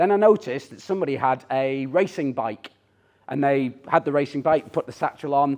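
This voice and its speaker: This man has a Teesside accent and a fairly high pitch. He talks at a fairly quick pace with ordinary pitch variation. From northern England, Teesside. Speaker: tech CEO and speaker. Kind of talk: conference talk. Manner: animated.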